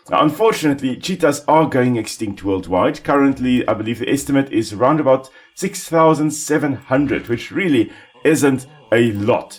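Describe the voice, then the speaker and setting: Delivered at a moderate speed, the speech rises and falls in a lively way beneath noticeable background noise. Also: man, fairly high pitch for a man. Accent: South African. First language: Afrikaans. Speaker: ecologist gaming commentator. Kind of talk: gameplay commentary. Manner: casual, relaxed.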